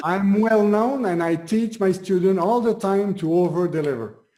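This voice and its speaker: A man with a French Canadian accent and a high pitch speaks at a moderate pace, with a dark, mellow tone and ordinary pitch variation. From Quebec. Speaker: online marketer. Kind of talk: interview. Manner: halting.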